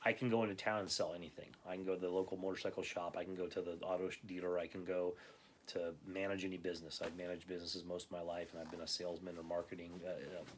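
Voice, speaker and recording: A man's very deep, low voice with an American accent, very fast and in a flat monotone. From Southern California. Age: 40s. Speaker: YouTuber. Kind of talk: casual monologue. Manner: casual, filler-heavy.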